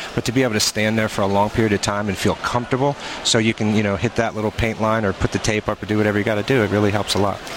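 A man talks at a very fast pace with hardly any pauses, at a fairly low pitch and with very even loudness. His intonation is monotone and flat, and there is noticeable background noise. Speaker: ladder company representative. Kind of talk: product interview. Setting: trade show floor.

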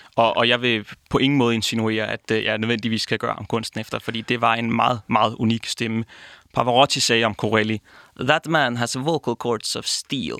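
A man speaks at a medium pitch in a bright, sharp tone with fairly even intonation. The recording is very clean, with a silent background. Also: moderate pace, dry, close sound with no echo. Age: 20s. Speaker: opera singing student. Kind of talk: interview.

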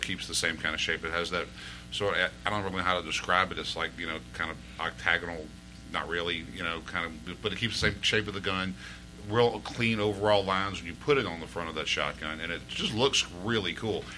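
A man's very deep, low voice at a very fast pace, full of lively intonation, over noticeable background noise. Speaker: gun product maker. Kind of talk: casual chat.

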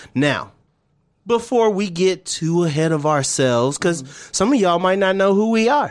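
A man with an American accent, high-pitched, lively in intonation, on a very clean recording with a silent background. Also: moderate pace. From US military family; born Twentynine Palms, California, raised partly in Louisiana. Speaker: podcast host. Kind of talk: casual chat. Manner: animated.

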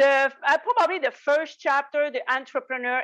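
A woman speaks in a French Canadian accent with a bright, sharp tone and ordinary pitch variation. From Quebec, Canada. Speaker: tax strategist and business owner. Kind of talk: interview answers.

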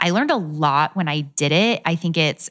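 Her voice is pitched very deep and low. The speaker is a woman. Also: very clean recording, silent background. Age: 20s. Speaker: fashion blogger.

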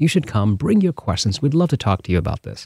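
A dark, mellow voice with very wide pitch swings, heard dry and close with no echo. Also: man, very clean recording, silent background. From India, Bangalore. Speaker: church missions director. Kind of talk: testimony.

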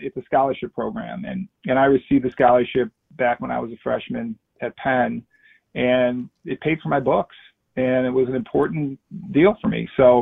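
With an American accent, the man uses an unremarkable speaking voice of medium pitch and lively intonation at a moderate pace. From Chicago. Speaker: former football player. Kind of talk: casual chat.

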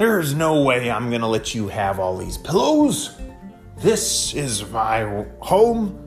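A man's put-on character voice at a very slow pace, with clear music in the background. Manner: grumpy, refusing.

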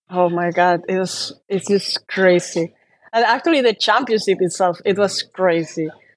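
A woman of medium pitch at a moderate pace, with ordinary pitch variation. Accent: Spanish. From Spain. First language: Spanish. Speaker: professional handball player. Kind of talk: interview.

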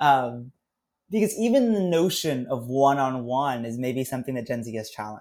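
On a very clean recording with a silent background, a man speaks at a moderate pace in an ordinary speaking voice with lively intonation. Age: 20s. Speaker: consulting agency founder and CEO. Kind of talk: casual chat.

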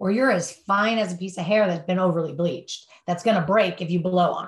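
Pitch rises and falls in an ordinary way. There is a somewhat breathy quality to the voice. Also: woman. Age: 50s. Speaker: addiction treatment counselor. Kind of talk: interview. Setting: podcast interview.

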